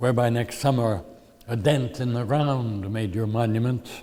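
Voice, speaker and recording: An American-accented man at medium pitch, a plain, everyday voice, fairly slow and with fairly even intonation. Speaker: poet. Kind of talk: poetry reading.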